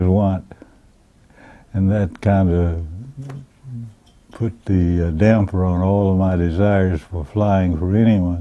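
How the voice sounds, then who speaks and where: A man's very deep, low voice, flat and monotone, fairly slow with long, frequent pauses. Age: 90s. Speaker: war veteran. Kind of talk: interview.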